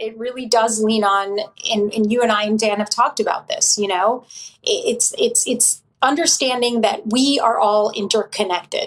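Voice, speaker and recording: An unremarkable speaking voice from a woman, fairly high in pitch, moderate in pace and fairly even in intonation. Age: 40s. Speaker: author and meditation teacher. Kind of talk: casual chat.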